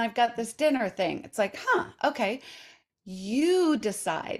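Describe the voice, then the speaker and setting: A woman speaks at a fairly slow pace with lively intonation and a fairly high pitch in a normal speaking voice, on a very clean recording with a silent background. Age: 60s. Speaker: intermittent fasting coach and author. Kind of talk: casual interview chat.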